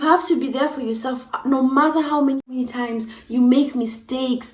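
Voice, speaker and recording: A woman with an East African accent speaks at a high pitch amid noticeable background noise. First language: Swahili. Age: 20s. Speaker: YouTuber. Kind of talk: casual vlog talk.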